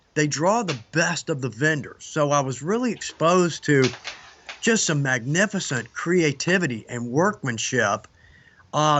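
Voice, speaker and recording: A man with a fairly high pitch speaks at a moderate pace, his intonation lively. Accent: Southern US. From US South, Georgia (Atlanta). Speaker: leathercraft instructor. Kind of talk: casual interview chat.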